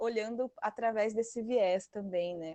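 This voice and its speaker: Her intonation stays fairly even as the woman speaks. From Brazil, Mato Grosso. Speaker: study group participant, agroecology worker and activist. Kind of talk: online study group discussion. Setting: online video call. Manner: halting, with many fillers and restarts.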